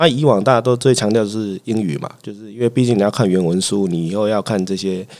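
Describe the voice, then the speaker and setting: A plain, everyday voice at a fairly quick pace with ordinary pitch variation. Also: man. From Taiwan, Chiayi (south). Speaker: family physician. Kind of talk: casual chat.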